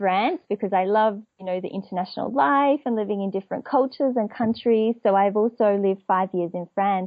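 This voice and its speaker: A woman with an Australian accent at a moderate pace, with medium pitch and ordinary pitch variation. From Australia, Perth. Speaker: business etiquette trainer. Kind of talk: interview.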